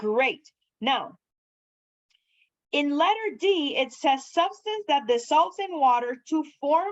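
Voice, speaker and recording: A woman with a non-native accent, high in pitch, very slow, with lively intonation. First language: not English. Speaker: chemistry lecturer. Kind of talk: lecture. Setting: classroom.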